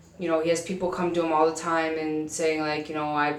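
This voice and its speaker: Fairly quick speech from a woman with an American accent, pitched fairly low, amid noticeable background noise and audible room echo. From US Midwest, South Dakota. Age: 20s. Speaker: vlogger. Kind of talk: casual vlog monologue. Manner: fast.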